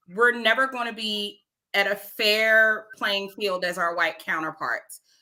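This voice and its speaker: A woman with an American accent has an ordinary speaking voice at a medium pitch. She talks at a fairly slow pace with ordinary pitch variation. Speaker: podcast co-host. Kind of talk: casual panel discussion.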